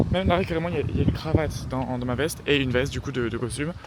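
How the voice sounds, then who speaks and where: Noticeable background noise sits behind this recording. A man speaks at a very fast pace with ordinary pitch variation. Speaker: student vlogger. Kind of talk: casual vlog. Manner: casual, many fillers and hesitations.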